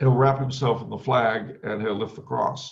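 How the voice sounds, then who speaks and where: A man with an American accent, medium-pitched and somewhat breathy, at a moderate pace with ordinary pitch variation. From US West Coast, Los Angeles. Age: 50s. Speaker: author. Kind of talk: interview.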